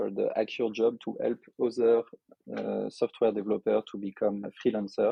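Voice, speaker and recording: A man talks in a French accent. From France, Lyon. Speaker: software developer and entrepreneur. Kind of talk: podcast interview. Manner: hesitant, many filler sounds.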